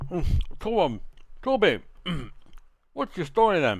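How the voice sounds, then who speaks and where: This is a put-on character voice at a middle pitch. It moves at a fairly slow pace with very wide pitch swings. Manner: gruff, casual, eating as he speaks.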